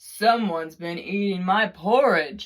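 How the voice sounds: A female-sounding put-on character voice at a middle pitch and a fairly slow pace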